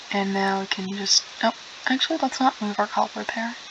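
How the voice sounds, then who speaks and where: Over noticeable background noise, a woman talks at medium pitch and a moderate pace with ordinary pitch variation. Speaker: gaming streamer. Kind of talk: gameplay commentary. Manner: casual, chatty.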